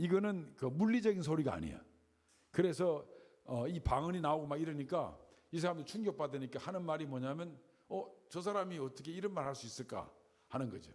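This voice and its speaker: With lively intonation and a fairly high pitch, a man talks at a fairly quick pace amid audible room echo. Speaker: Bible teacher. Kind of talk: Bible lecture.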